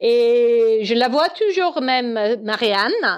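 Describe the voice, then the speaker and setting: A woman speaks with an English accent. Her pitch is high. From Northern Ireland, Belfast. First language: English (speaking French). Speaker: guest. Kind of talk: casual chat.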